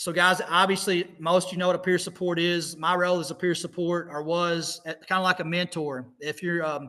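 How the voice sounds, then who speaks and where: A man with an American accent speaks at a fairly quick pace and high pitch, his intonation monotone and flat. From US Midwest, southeast Missouri. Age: 40s. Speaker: motivational speaker. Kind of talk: talk. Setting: video call.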